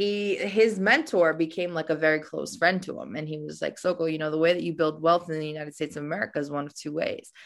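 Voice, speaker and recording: A woman's normal speaking voice, fairly low in pitch, with ordinary pitch variation. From Albania, raised partly in Rome, then US. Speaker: real estate entrepreneur. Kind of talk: interview. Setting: video call.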